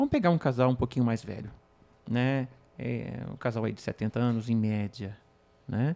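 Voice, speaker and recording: A man's dark, mellow tone at a medium pitch, with ordinary pitch variation, a moderate pace, and long, frequent pauses, in a very clean recording with a silent background. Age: 50s. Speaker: patient with penile prosthesis. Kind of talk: podcast conversation.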